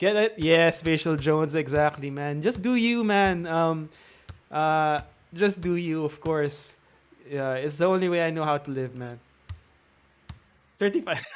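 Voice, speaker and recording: The speaker has a Filipino accent and ordinary pitch variation. The pace is fairly slow, with long, frequent pauses. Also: man, fairly high pitch for a man. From Philippines. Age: 30s. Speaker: gaming streamer. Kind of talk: live stream Q&A and tutorial. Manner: talkative; natural, not a put-on YouTube voice.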